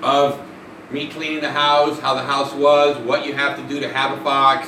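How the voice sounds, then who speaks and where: A man speaks in a fairly high pitch with monotone, flat intonation. Audible room echo and noticeable background noise surround him. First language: Spanish. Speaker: pet fox owner and YouTuber. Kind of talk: live stream Q&A. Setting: live stream. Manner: casual, rambling with fillers.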